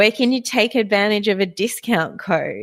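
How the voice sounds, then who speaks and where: Speaking with an Australian accent, a woman uses a fairly high pitch with ordinary pitch variation. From Australia, Victorian south coast. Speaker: podcast host. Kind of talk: live solo podcast talk with listener chat. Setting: live online broadcast. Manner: animated.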